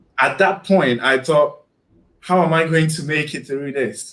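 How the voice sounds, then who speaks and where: A man talks with a Ghanaian accent. His pace is moderate and his pitch varies in an ordinary way. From Ghana, Kumasi area. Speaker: guest on a live stream, YouTuber. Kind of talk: casual interview chat. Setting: live stream video call. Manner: halting, repeats words.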